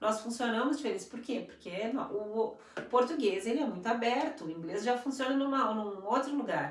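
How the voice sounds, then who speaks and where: A woman with a high voice and lively intonation speaks amid audible room echo and noticeable background noise. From Brazil. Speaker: English teacher and school coordinator. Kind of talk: live stream conversation. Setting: live stream.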